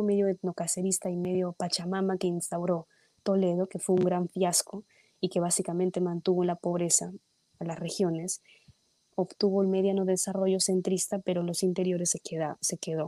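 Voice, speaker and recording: Her voice sits at a medium pitch with a dark, mellow tone and monotone, flat intonation. The woman keeps a moderate pace, and the sound is dry and close with no echo. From Peru. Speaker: politician. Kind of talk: political discussion. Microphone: too quiet.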